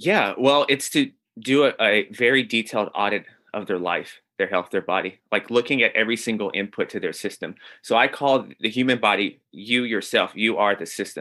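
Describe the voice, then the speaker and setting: A man speaks at a moderate pace in a normal speaking voice. His pitch sits in the medium range and shows ordinary variation. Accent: American. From US South. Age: 30s. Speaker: health coach. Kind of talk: interview.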